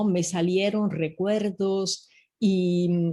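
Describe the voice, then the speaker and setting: A woman's medium-pitched, somewhat breathy voice with a dark, mellow tone, ordinary pitch variation and an Italian accent, against a quiet background. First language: Italian (speaking Spanish). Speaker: professor. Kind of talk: interview. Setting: video call. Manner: halting.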